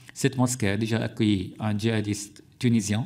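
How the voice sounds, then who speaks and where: A man with an Arabic accent, fairly low pitch, fairly even intonation, and a moderate pace, on a very clean recording with a silent background. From Syria. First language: Arabic (speaking French). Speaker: journalist and author. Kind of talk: parliamentary hearing testimony. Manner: halting, many hesitations.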